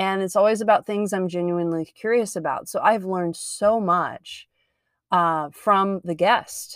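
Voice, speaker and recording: Here is a woman with a plain, everyday voice at medium pitch, speaking at a fairly slow pace. Her intonation stays fairly even in a very clean recording with a silent background. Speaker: podcast host and yoga and Pilates teacher. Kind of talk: solo podcast monologue.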